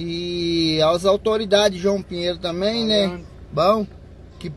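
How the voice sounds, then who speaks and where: A man's high voice, very slow and fairly even in intonation, with light background noise and a dry sound with no echo. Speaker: taxi driver. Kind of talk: live video appeal for help. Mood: earnest, urgent appeal. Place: car. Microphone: phone near.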